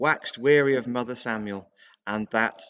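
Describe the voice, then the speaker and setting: Against a quiet background, a man with an unremarkable speaking voice talks at a moderate pace and medium pitch. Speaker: reader of historical texts. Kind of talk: dramatic reading of a period document.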